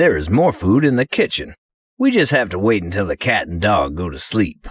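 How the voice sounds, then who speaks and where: A man puts on a character voice with a fairly low pitch at a moderate pace. The recording is very clean, with a silent background. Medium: read story.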